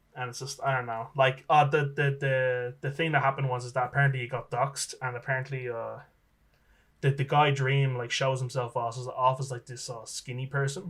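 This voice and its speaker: In an Irish accent, the speech comes at a fairly quick pace with monotone, flat intonation and big swings in loudness. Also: man, medium pitch for a man. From Ireland. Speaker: electronic musician. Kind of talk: casual chat. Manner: halting, many repetitions.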